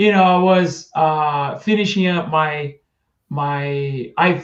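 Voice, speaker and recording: This man's voice sits fairly high, with fairly even intonation. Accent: Portuguese. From Brazil, Itu, São Paulo state. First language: Portuguese. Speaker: trombonist. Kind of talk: interview.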